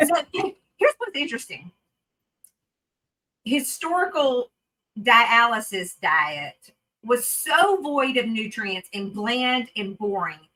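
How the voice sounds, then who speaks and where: A woman with a Southern US accent, high pitch and a bright, sharp tone, very wide pitch swings, a very slow pace and long, frequent pauses. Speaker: renal dietitian. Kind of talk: webinar talk. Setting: video webinar.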